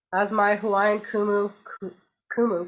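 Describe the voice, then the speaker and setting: A woman with a Canadian accent speaks at a medium pitch. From Canada. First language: Portuguese. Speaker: graduate student presenter. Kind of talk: conference presentation.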